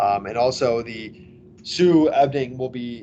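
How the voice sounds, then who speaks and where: Here a man is speaking. His tone is dark and mellow. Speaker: school athletic director. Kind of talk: informational presentation. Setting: recorded online presentation. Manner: hesitant, many fillers.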